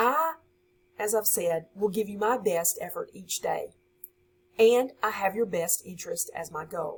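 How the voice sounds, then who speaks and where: A woman with a Southern US accent and a somewhat breathy, fairly high-pitched voice. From US South, Louisiana (West Monroe). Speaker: high school science teacher. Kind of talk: course introduction for students.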